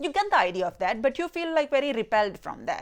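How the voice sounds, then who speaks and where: Her tone animated, a woman speaks at a high pitch that swings very widely. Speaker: YouTube film reviewer. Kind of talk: casual video review. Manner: animated, mixes Hindi and English.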